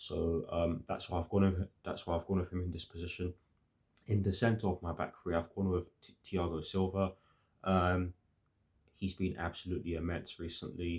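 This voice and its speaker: A man's very deep, low voice, somewhat breathy and monotone, at a moderate pace on a very clean recording with a silent background. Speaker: football fan youtuber. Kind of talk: match preview monologue. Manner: hesitant, many fillers.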